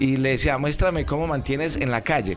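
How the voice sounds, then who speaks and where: A man talks fairly quickly in a fairly high pitch, his pitch varying in an ordinary way, with noticeable background noise behind him. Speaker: mayor. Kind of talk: radio interview.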